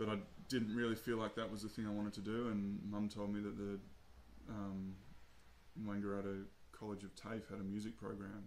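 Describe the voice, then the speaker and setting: A man speaks in a monotone, flat intonation at a fairly low pitch and a fairly quick pace, with long, frequent pauses. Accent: Australian. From Australia, Albury, New South Wales. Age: 30s. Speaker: jazz saxophonist. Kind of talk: casual interview. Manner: hesitant, many fillers.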